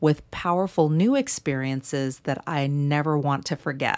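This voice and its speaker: A woman's very deep, low voice with an American accent, ordinary pitch variation, and a moderate pace, in a very clean recording with a silent background. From US Midwest, St. Louis. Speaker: podcast host, abuse recovery coach. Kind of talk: solo podcast monologue.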